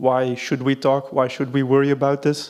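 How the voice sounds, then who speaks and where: A man's voice at medium pitch. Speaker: legal and policy advisor at environment ministry. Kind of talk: conference presentation. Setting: conference hall with audience.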